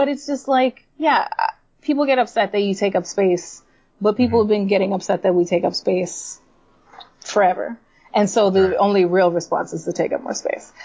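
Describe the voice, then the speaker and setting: This is a woman with an ordinary speaking voice at medium pitch. She talks at a fairly quick pace with ordinary pitch variation. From New York City (Puerto Rican family). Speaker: comic book writer. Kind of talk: casual interview chat.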